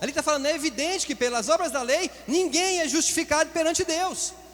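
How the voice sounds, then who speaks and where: A man's extremely high-pitched voice at a fairly quick pace, over noticeable background noise. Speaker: pastor. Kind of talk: sermon. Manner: fast.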